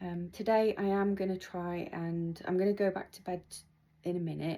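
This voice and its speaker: A woman is speaking. She has a British accent. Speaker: patient vlogger. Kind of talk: video diary. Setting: at home. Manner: slow, many pauses.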